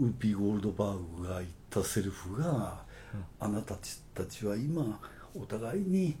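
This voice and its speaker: Somewhat breathy and dark, mellow in tone, a man speaks at a moderate pace with lively intonation and a fairly low pitch. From Okayama, Japan. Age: 60s. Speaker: advertising agency owner. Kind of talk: casual chat.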